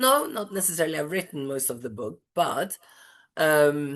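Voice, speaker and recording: A woman's very deep, low voice at a moderate pace, with ordinary pitch variation and a quiet background. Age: 60s. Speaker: author. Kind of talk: live Q&A monologue. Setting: video call. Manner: halting, many fillers.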